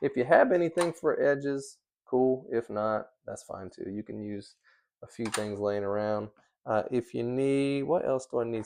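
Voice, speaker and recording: A man mumbles with big swings in loudness against a quiet background. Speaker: leather crafter. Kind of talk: tutorial. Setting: workshop. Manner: mumbling; casual.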